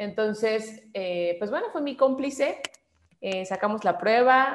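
A woman with a fairly high pitch and lively intonation speaks at a fairly slow pace. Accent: Mexican. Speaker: voice actress. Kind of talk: interview.

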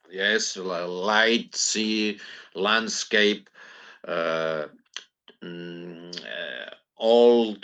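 This man talks with a fairly low pitch. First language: Catalan. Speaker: poet. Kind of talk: interview. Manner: halting.

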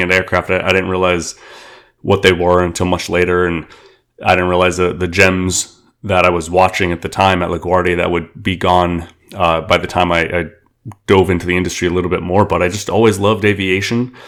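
Speaking at a fairly quick pace, a man with an American accent has a very deep, low pitch and monotone, flat intonation, captured on a very clean recording with a silent background. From Queens, New York City. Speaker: aviation community figure. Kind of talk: interview.

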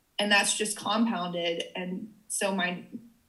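A woman's somewhat breathy voice with an American accent. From US South, rural Tennessee. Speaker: business coach. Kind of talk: casual interview.

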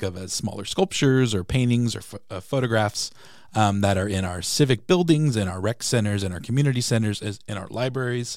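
In an American accent, a man with an unremarkable speaking voice talks at medium pitch and a fairly quick pace, his intonation lively, on a very clean recording with a silent background. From San Diego, California. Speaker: city public arts program manager. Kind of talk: casual interview. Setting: studio.

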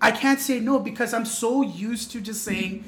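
A man at a fairly quick pace with ordinary pitch variation, amid noticeable background noise and audible room echo. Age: 20s. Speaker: podcast guest. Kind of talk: casual chat.

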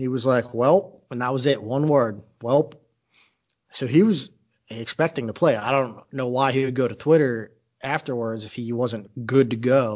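A man with a plain, everyday voice, medium in pitch and with ordinary pitch variation. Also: moderate pace. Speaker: podcast co-host. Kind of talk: casual banter over beers, fantasy football talk.

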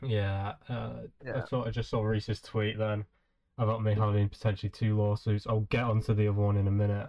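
Flat and monotone, a man with a British accent talks at a fairly quick pace and a fairly low pitch. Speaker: podcast host. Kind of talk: casual chat. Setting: video call. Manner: casual, swears often.

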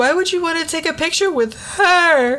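Put-on character voice, squeaky and extremely high in pitch, over light background noise. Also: moderate pace.

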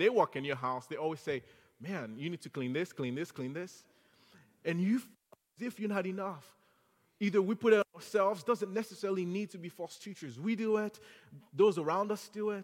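A man's high voice moves along at a fairly quick pace. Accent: French. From Haiti. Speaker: guest preacher. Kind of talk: sermon. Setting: church.

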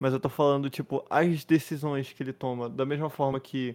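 A plain, everyday voice moves at a moderate pace and keeps fairly even intonation. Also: man. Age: young. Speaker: podcast co-host. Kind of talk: casual chat.

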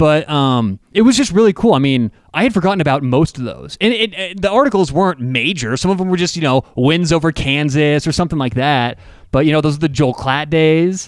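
On a very clean recording with a silent background, a man with fairly high pitch talks at a fairly quick pace in an unremarkable speaking voice with lively intonation. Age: 30s. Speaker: sports podcast host. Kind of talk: casual sports chat.

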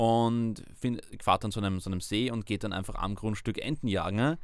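A man with a normal speaking voice talks at a medium speed and medium pitch. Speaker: university student. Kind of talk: interview.

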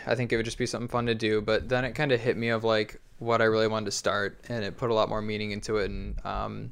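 Against a quiet background, the speech moves at a very fast pace. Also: man. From Michigan, Detroit area. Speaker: skateboarder. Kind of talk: casual chat. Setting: in-person recording.

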